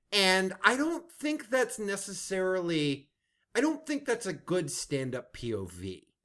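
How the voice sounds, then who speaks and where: A man's raised, projected voice, high pitched with a bright, sharp tone and very wide pitch swings, at a fairly slow pace in a very clean recording with a silent background. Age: 40s. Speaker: comedy writer. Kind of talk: casual chat. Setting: in a home.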